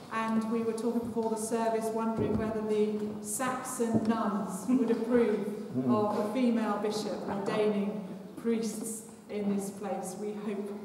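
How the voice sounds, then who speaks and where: A woman's fairly slow, monotone, flat delivery amid strong room echo and noticeable background noise. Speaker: bishop leading a service. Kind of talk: liturgical welcome address. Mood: warm, lightly humorous. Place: church.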